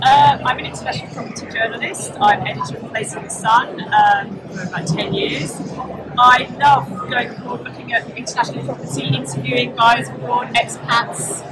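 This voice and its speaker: Over background music, a woman at a medium pitch talks at a moderate pace with very wide pitch swings and big swings in loudness. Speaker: property journalist. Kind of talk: casual interview. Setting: live at a property show. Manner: halting.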